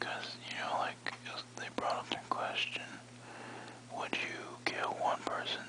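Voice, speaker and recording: Over noticeable background noise, a speaker whispers in a relaxed tone. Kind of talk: ASMR-style sleepy talk to camera, relaxing whispering. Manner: whispered, relaxed, rambling.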